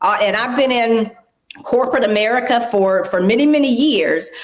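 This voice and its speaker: At a fairly slow pace, a woman with an ordinary speaking voice talks at a fairly high pitch with lively intonation. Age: 60s. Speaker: aging advocate and corporate professional. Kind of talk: interview.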